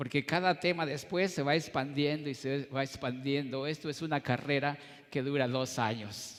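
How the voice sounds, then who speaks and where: With an ordinary speaking voice, a man keeps his intonation fairly even at a fairly high pitch. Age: 60s. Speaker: pastor. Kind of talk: sermon.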